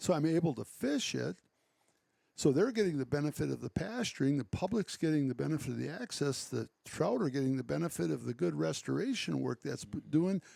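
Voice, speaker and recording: Speaking at a fairly quick pace, a man talks with an Upper Midwest accent. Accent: Upper Midwest (Wisconsin). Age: 60s. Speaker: conservationist and farm owner. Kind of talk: casual chat.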